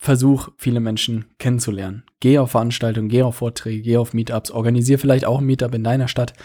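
On a very clean recording with a silent background, a man with an ordinary speaking voice and a medium pitch talks at a fairly quick pace with fairly even intonation. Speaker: podcast host. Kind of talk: solo podcast monologue. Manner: casual with frequent fillers.

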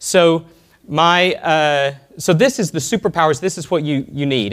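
A man talks with a Texan accent. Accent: Texan American. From Texas (Alvin, small town). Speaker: software entrepreneur. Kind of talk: conference talk. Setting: stage with audience.

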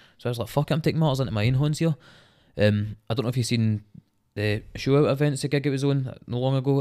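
Speaking very fast, a man with a Scottish accent has a dark, mellow tone in a very clean recording with a silent background. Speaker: rapper. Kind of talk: casual chat. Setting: studio.

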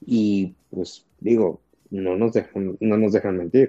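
A man speaks in a dark, mellow tone with ordinary pitch variation, the sound dry and close with no echo. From Tabasco, Mexico. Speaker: physician. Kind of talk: interview. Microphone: connection problems, audio may cut out.

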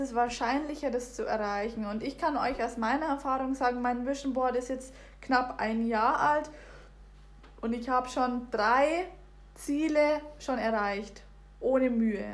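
A woman's high voice at a fairly slow pace, fairly even in intonation, with audible room echo. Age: 20s. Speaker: podcast guest. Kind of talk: casual chat.

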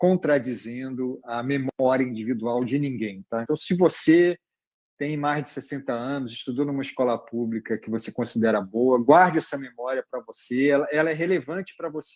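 A normal speaking voice from a man, medium in pitch with ordinary pitch variation, at a moderate pace against a quiet background. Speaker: education journalist and author. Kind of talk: interview.

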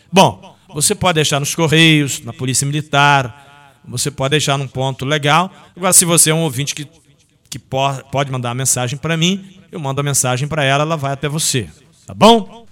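A man's fairly high-pitched voice with ordinary pitch variation, at a moderate pace. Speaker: sports radio host. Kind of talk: sports radio show. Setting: radio studio. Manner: animated.

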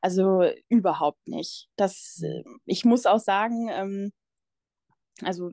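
In a dry, close sound with no echo and a quiet background, a woman speaks with a dark, mellow tone. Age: 20s. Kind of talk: personal testimony in interview. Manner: halting.

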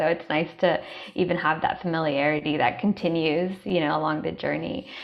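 Against noticeable background noise, someone talks at a fairly quick pace. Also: woman. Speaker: holistic health coach and event host. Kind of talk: panel discussion in a live online event.

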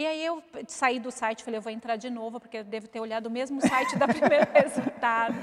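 A woman speaks at a high pitch and a fairly quick pace with fairly even intonation. Her loudness swings a lot over noticeable background noise. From Osasco, São Paulo, Brazil. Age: 40s. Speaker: mother of a ballet student. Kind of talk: interview, personal story.

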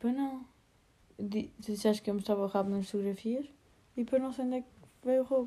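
A woman with a European Portuguese accent talks at a fairly quick pace, her fairly high pitch paired with a dark, mellow tone. Her intonation stays fairly even, broken by long, frequent pauses. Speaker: podcast co-host. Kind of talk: casual chat. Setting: lying in bed at night.

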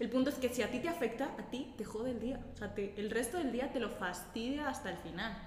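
A woman speaks fairly quickly at a high pitch with ordinary pitch variation. Noticeable background noise and audible room echo fill the recording. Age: 20s. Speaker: team member. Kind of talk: casual group chat.

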